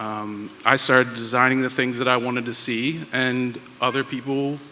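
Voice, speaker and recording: With an American accent, a man speaks at a medium pitch and a moderate pace, his intonation fairly even, against noticeable background noise. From Pittsburgh, US. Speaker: tattoo artist and toy designer. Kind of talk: panel discussion.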